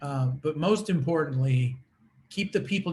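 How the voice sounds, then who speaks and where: A man is speaking here. His voice is somewhat breathy. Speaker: attorney. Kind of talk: conference presentation. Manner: fast.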